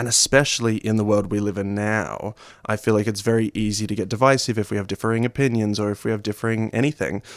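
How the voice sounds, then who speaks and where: A man talks at a very fast pace with an Australian accent and a fairly low pitch. His intonation is monotone and flat, and the sound is dry and close with no echo. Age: 20s. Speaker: actor and playwright. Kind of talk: radio interview.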